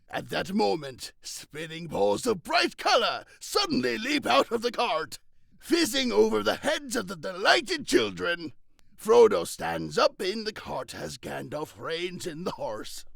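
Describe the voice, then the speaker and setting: Someone performs a put-on character voice at a fairly slow pace. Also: man, high pitch for a man. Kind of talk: script stage directions. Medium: solo performance.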